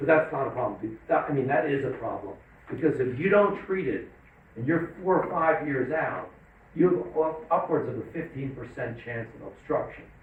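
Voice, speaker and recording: A man with a fairly high voice talks at a moderate pace, and some room echo can be heard. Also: ordinary pitch variation. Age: 60s. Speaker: psychiatrist. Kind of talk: lecture. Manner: casual, conversational.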